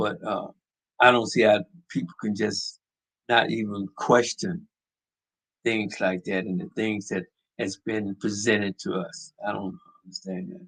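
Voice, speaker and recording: The voice has a bright, sharp tone, lively intonation and an American accent, moving at a fairly slow pace in a dry, close sound with no echo. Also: man. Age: 70s. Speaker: podcast host. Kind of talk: opinion monologue. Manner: animated; halting.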